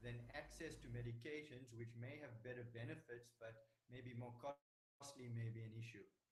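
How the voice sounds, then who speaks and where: A somewhat breathy man's voice with fairly even intonation and hardly any pauses. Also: medium pitch for a man, moderate pace. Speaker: doctor. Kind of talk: panel discussion. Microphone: quiet, hard to hear.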